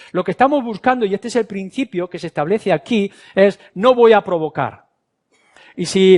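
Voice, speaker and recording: A man speaks at a moderate pace in a high voice. The sound is dry and close, with no echo. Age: 60s. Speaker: pastor. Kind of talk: sermon.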